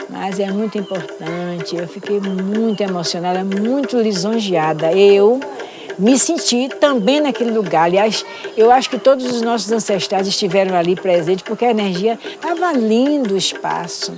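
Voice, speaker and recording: Noticeable background noise and audible room echo surround the voice. It keeps a moderate pace with ordinary pitch variation. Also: woman, medium pitch for a woman. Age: 70s. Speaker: Candomblé priestess. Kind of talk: interview testimony.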